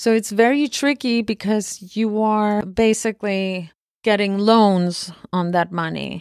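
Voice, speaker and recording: On a very clean recording with a silent background, a woman with a Spanish accent speaks at a fairly slow pace and a medium pitch, with ordinary pitch variation. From Argentina. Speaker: film producer. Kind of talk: interview conversation.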